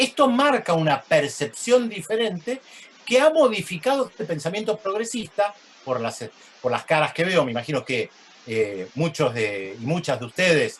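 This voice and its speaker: Against noticeable background noise, a man talks at a moderate pace in a high pitch with very wide pitch swings. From Argentina. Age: 60s. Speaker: journalist and sociologist. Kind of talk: lecture. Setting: video call.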